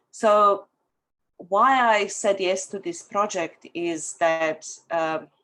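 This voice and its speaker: A woman speaks at a very slow pace with a strong Bosnian accent, her medium pitch showing ordinary variation. Her tone is bright and sharp, and the recording is very clean with a silent background. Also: long, frequent pauses. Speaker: author. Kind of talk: testimony.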